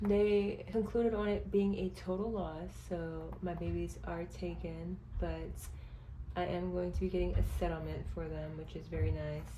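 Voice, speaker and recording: Noticeable background noise and audible room echo accompany this woman, who talks at a moderate pace. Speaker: budgeting vlogger. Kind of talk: casual vlog.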